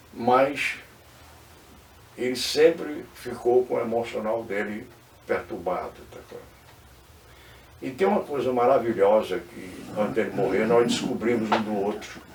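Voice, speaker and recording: Against noticeable background noise, a man speaks fairly slowly at a medium pitch with ordinary pitch variation, big swings in loudness and long, frequent pauses. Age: 80s+. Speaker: former political adviser. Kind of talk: interview. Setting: studio.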